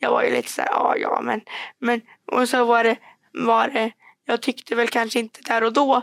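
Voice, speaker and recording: A woman's fairly high, monotone voice with vocal fry, flat intonation and long, frequent pauses, in a dry, close sound with no echo. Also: moderate pace. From Värmland, Sweden (Degerfors). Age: 20s. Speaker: student and public speaker. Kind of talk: podcast interview.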